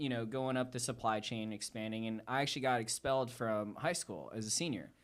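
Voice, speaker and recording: In an ordinary speaking voice, a man with an American accent talks at a fairly quick pace on a very clean recording with a silent background. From Connecticut, US. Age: 30s. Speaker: entrepreneur. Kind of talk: podcast interview. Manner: casual, relaxed.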